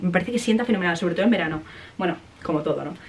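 The speaker talks at a very fast pace in an animated tone, with ordinary pitch variation. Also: woman. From Spain. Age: 20s. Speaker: vlogger and university student; vlogger. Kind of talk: casual vlog talk to camera. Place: home room. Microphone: phone near.

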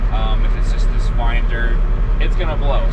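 Male speech at a moderate pace with loud background noise. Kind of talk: casual vlog commentary. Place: farm machine.

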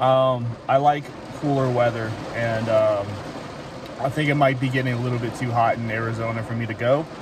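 A man's monotone, flat intonation at a moderate pace, in a dry sound with no echo and noticeable background noise. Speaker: car-living vlogger. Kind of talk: casual vlog chat. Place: car. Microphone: phone near.

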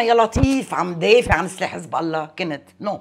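A woman's voice at a medium pitch, with very wide pitch swings. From Lebanon, Metn; Lebanon. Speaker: parliamentary candidate; candidate. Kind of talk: interview. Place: home room. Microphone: lapel.

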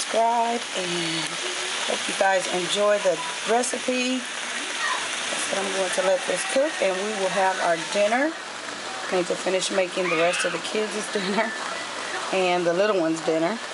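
The speech moves at a fairly slow pace over loud background noise. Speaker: mother vlogger. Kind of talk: cooking tutorial vlog chat. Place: kitchen. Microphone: phone near.

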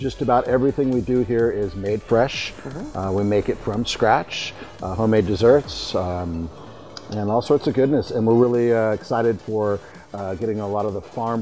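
Faint music sits in the background. Over it, a man talks at a moderate pace with ordinary pitch variation. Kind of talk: interview answer. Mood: friendly, upbeat. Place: garden.

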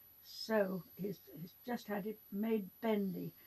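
In an English accent, a woman speaks very slowly and somewhat breathily, with fairly even intonation. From England. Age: 80s+. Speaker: art teacher; drawing teacher. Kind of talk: tutorial. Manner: halting. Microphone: phone near.

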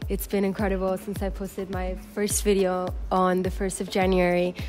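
Faint music plays behind a woman as she talks. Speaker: fitness vlogger. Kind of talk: casual vlog chat. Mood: cheerful, grateful. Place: garden.

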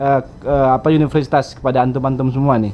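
The speaker is male. He talks at a very fast pace. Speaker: vlogger. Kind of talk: vlog interview. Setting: student apartment. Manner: hesitant with fillers. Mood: friendly, joking. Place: home room.

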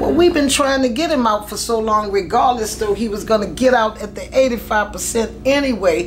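A woman talks at a moderate pace with ordinary pitch variation. There is light background noise. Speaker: interview guest. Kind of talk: interview answer. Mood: calm, reflective. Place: studio.

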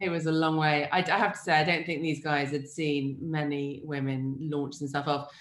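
Against a quiet background with audible room echo, the speech moves at a moderate pace with hardly any pauses and fairly even intonation. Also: woman, very deep, low pitch for a woman. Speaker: food writer and cook. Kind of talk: interview. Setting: video call. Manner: casual, humorous. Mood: warm, reflective. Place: home room.

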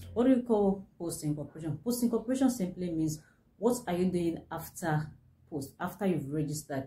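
Her voice is somewhat breathy, with a dark, mellow tone, a fairly low pitch for a woman and lively intonation. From Nigeria. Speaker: business consultant. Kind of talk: tutorial. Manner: halting. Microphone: phone near.

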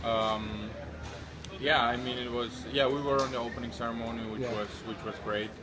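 A man speaks with a Central European accent and leaves long, frequent pauses. Noticeable background noise runs underneath. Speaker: hockey player. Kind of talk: interview. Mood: relaxed, friendly. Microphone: phone near.

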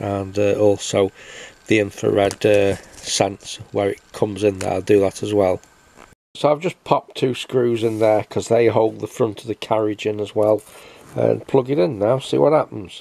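This man's fairly low voice has vocal fry and a dark, mellow tone, moving at a fairly slow pace with fairly even intonation.

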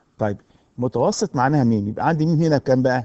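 A man at medium pitch, with ordinary pitch variation and a moderate pace. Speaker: university lecturer. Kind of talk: recorded lecture.

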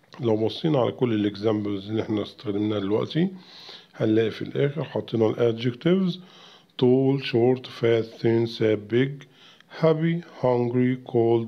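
In a Cairo accent, a man talks at a medium pitch with ordinary pitch variation. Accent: Egyptian Arabic (Cairene). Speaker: English teacher. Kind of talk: tutorial. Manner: repeats words slowly for pronunciation practice.

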